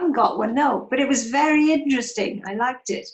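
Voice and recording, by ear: A woman does a croaky, put-on character voice at a high pitch and a very fast pace.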